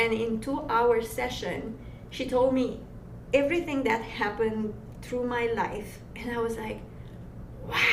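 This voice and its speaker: Over noticeable background noise and audible room echo, a woman with a Romanian accent speaks at a fairly high pitch and a fairly slow pace, with fairly even intonation and long, frequent pauses. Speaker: massage therapist and energy healer. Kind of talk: interview. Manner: rolled R's.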